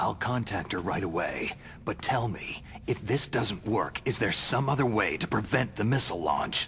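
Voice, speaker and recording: A man performs a put-on character voice at medium pitch and a moderate pace, with lively intonation and very even loudness over clear background noise. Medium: video game. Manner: terse, gruff.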